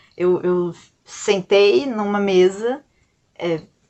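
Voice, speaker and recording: The woman's pitch sits fairly high. It varies in an ordinary way. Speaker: YouTuber and illustrator. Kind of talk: casual storytelling vlog. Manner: soft-spoken; hesitant, many fillers.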